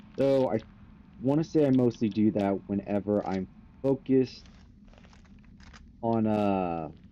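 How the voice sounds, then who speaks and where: A man talks at a fairly slow pace in a fairly low voice with ordinary pitch variation. He leaves long, frequent pauses. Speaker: gaming streamer. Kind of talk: live gameplay commentary. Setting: live stream. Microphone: too quiet in stream audio.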